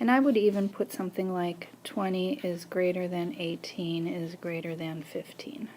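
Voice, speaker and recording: Speaking at a fairly slow pace, a woman has a dark, mellow tone and a medium pitch. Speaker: math teacher. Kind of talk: tutorial.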